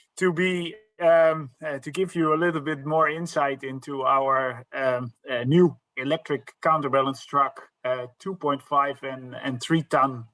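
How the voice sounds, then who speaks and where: Fairly slow, fairly even speech from a man with a Dutch accent and a fairly high pitch. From Netherlands. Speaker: sales director. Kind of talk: presentation. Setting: live online event. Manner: halting, many fillers.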